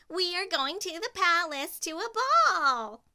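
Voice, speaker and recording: A woman uses a put-on character voice, raised and projected, squeaky and extremely high in pitch. She talks at a fairly slow pace with lively intonation. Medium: read story. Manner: shrill, petty.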